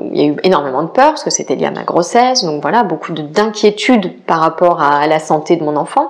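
Amid noticeable background noise, a woman with a fairly low voice speaks at a moderate pace with very wide pitch swings. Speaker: podcast host and life coach. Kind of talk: personal storytelling monologue. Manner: hesitant, many fillers.

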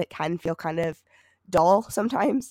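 With an American accent, a woman speaks in a normal speaking voice at a fairly low pitch and a moderate pace. Her intonation is lively, and the sound is dry and close with no echo. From Michigan, US. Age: 20s. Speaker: podcast co-host, college student. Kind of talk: casual chat.

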